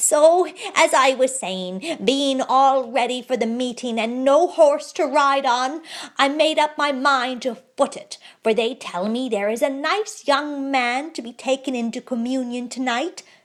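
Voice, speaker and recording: In a very clean recording with a silent background, a woman puts on a character voice, cackling in a high, raised, projected voice. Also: moderate pace. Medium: read story. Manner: cackling, archaic speech.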